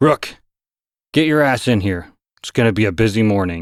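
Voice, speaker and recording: Put-on character voice from a man, gruff and rumbling at medium pitch, moderate pace, dry and close with no echo, very clean recording with a silent background. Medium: read story. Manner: gruff, grumbling.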